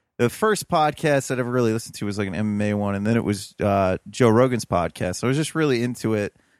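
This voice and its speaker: A man with an American accent talks very fast at a medium pitch, with ordinary pitch variation and hardly any pauses. The recording is very clean, with a silent background and a dry, close sound with no echo. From Ohio (Toledo). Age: 30s. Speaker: podcaster and urban farmer. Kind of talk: casual interview chat.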